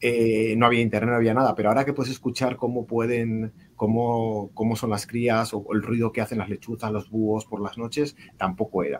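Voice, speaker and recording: This man speaks with a Castilian accent at a fairly quick pace. His pitch is medium and his intonation fairly even. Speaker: reading mediator and cultural manager. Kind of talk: storytelling; casual panel conversation. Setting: video call.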